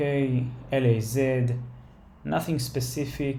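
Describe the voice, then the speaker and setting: A man with a non-native accent speaks at a fairly slow pace in a medium pitch, with a dark, mellow, somewhat breathy tone, monotone, flat intonation, and audible room echo. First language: not English. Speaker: stock trader, market analysis creator. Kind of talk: tutorial. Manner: halting, many fillers.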